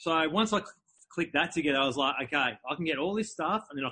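Delivered at a very fast pace, the speech has lively intonation and an Australian accent. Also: man. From Melbourne, Australia. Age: 40s. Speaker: entrepreneur and speaker. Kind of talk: interview.

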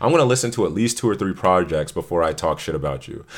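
Recorded very cleanly with a silent background, a man speaks in an animated tone with lively intonation. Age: 20s. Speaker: podcast host. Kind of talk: casual banter podcast chat. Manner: animated, joking, profane.

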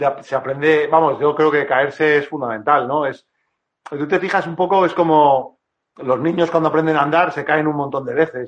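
An ordinary speaking voice at a moderate pace, with fairly even intonation. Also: man, fairly high pitch for a man. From Madrid, Spain. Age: 40s. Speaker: woodworker. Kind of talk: casual interview. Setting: online live stream.

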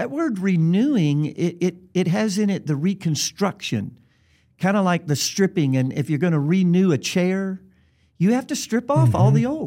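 In a Southern US accent, a high-pitched man talks with lively intonation and a dark, mellow tone. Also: moderate pace, very clean recording, silent background. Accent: Southern US, noticeable. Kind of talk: casual interview chat.

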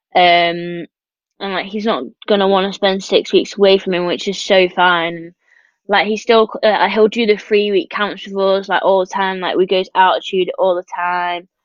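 Fairly even intonation marks this woman's speech in a Peak District accent. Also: medium pitch for a woman, moderate pace. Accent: northern English, Peak District. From northern England. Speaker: professional swimmer. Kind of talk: casual interview chat.

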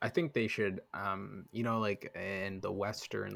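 A man with a fairly low pitch and an unremarkable speaking voice talks at a fairly slow pace. His intonation stays fairly even, and the recording is very clean with a silent background. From Canada. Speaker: podcast host. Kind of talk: casual chat.

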